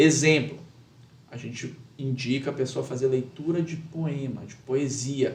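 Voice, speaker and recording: Amid audible room echo, a man with a fairly high pitch speaks at a fairly slow pace, somewhat breathy and monotone, with flat intonation and big swings in loudness. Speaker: lawyer and public speaking teacher. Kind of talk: podcast interview. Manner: measured with many pauses.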